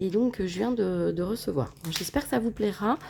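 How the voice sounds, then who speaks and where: With lively intonation, a woman speaks at a medium pitch in a dark, mellow tone. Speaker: scrapbooking YouTuber. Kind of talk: product haul presentation. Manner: hesitant, many fillers.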